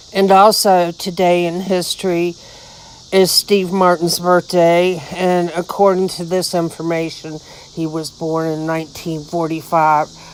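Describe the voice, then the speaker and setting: A woman with a fairly low pitch speaks at a fairly slow pace in a monotone, flat intonation. Noticeable background noise can be heard. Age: 60s. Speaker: YouTuber. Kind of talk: reading aloud; casual vlog talk. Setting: outdoors.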